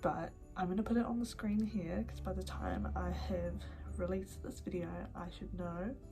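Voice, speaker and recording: Music plays in the background. A woman speaks with a New Zealand accent. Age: 20s. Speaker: YouTuber and podcaster. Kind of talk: casual talk to camera.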